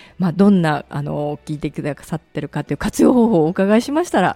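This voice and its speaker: A woman's dark, mellow voice at a fairly quick pace with very wide pitch swings, dry and close with no echo, in a very clean recording with a silent background. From Osaka, Kadoma. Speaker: internet radio host. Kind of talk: radio interview. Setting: studio. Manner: polite.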